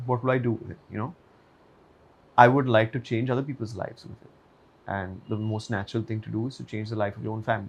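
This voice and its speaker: At a very fast pace broken by long, frequent pauses, a man with a medium pitch sounds somewhat breathy, keeping fairly even intonation while his loudness swings widely. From India (Mumbai). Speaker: actor. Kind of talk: interview.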